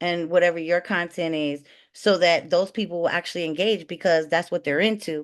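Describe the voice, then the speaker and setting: Her pace is fairly quick. The woman's intonation is lively. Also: quiet background. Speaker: online selling coach. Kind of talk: webinar presentation. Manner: fast; loud.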